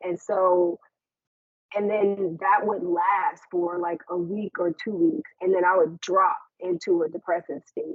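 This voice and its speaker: A woman with a normal speaking voice and a medium pitch talks at a fairly slow pace with fairly even intonation. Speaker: suicide survivor and mental health speaker. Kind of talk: presentation.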